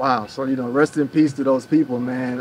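A man with medium pitch speaks at a moderate pace over light background noise. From US Midwest. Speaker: YouTube vlogger. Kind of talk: casual chat. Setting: recorded on location in Kenya. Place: garden.

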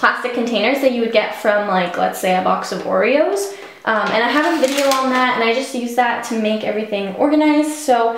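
With hardly any pauses, a woman speaks at a high pitch with ordinary pitch variation, amid light background noise and audible room echo. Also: fairly quick pace. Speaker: beauty vlogger. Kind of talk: casual vlog chat, home tour. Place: bathroom.

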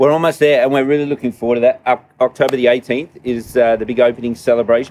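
In a slightly mellow tone, a man speaks at a medium pitch with fairly even intonation.

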